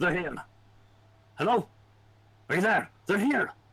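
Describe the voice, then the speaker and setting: A man in a put-on character voice at a high pitch. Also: moderate pace. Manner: urgent, calling out.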